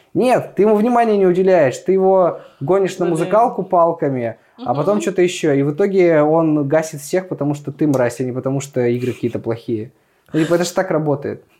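This voice has a dark, mellow tone and lively intonation. The pace is very fast. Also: man, high pitch for a man. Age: 20s. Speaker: festival organizer. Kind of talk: casual chat.

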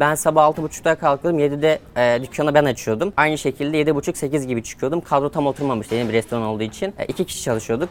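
With music in the background, a man talks at a very fast pace with hardly any pauses, at a fairly high pitch with ordinary pitch variation. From Turkey, rural village. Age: 20s. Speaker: online seller, entrepreneur. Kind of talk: interview.

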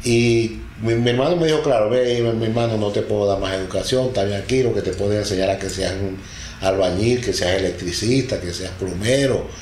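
A man's fairly low voice at a moderate pace with ordinary pitch variation, amid noticeable background noise and audible room echo. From Venezuela, Delta Amacuro, rural village. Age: 60s. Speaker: father-in-law sharing life story. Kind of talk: interview, personal life story. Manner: hesitant, many fillers and repeats.

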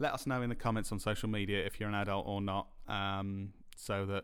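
Talking at a fairly quick pace, a man with a British accent is heard on a very clean recording with a silent background. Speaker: podcast co-host. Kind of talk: casual chat. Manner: laughs often.

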